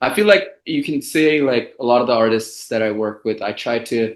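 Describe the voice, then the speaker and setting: A man talks at a moderate pace in a medium pitch. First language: Bengali. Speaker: music composer and producer. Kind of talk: interview. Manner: casual, lots of fillers.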